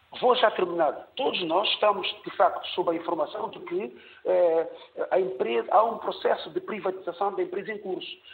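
At a moderate pace, a man speaks while noticeable noise fills the background. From São Tomé and Príncipe. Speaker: caller. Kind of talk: call-in opinion.

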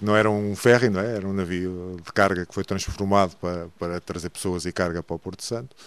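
This man talks at a fairly quick clip with hardly any pauses, his very deep, low voice keeping a fairly even intonation. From Portugal, Santarém. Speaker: diving instructor. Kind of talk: radio interview. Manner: halting.

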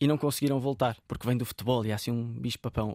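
A man with a European Portuguese accent, a very fast pace and fairly even intonation, in a very clean recording with a silent background and a dry, close sound with no echo. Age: 20s. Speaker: football coach and sports commentator. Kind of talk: interview. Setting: radio studio.

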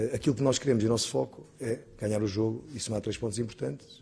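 A man speaks in a somewhat breathy voice at a fairly low pitch. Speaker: football pundit, former player. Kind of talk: TV football analysis panel. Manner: repetitive, halting.

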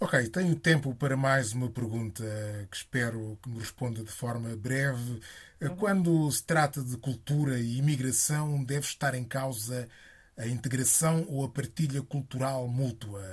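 A man's medium-pitched voice comes across as somewhat breathy. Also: ordinary pitch variation, moderate pace. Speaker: radio host. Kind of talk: radio interview. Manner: formal.

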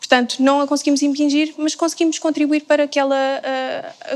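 Fairly quick, high-pitched speech from a woman. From Algarve, Portugal. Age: 20s. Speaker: communications graduate. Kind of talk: casual panel discussion.

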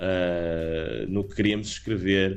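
A man speaks with fairly even intonation. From Portugal, partly raised in England. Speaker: rock band singer. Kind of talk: interview. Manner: halting, many fillers.

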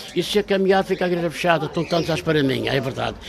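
Noticeable background noise sits behind a man with a high pitch and ordinary pitch variation. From Madeira, Câmara de Lobos. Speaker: barber. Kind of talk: casual interview.

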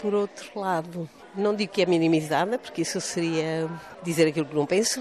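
There's noticeable background noise as a woman speaks at a moderate pace. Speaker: granddaughter of a war hero. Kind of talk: interview.

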